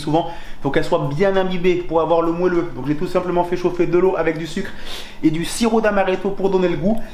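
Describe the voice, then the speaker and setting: A man talks at a fairly quick pace in a high pitch. Room echo is audible, and background noise is noticeable. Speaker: home cook video host. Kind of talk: cooking tutorial.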